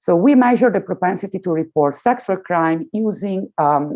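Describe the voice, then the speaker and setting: A woman speaks with very wide pitch swings. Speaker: economics researcher. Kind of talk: conference presentation. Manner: hesitant, many fillers.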